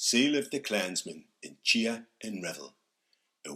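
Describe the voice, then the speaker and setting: A man is speaking. His pace is very slow. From Northumbria, England. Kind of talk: epic poetry reading.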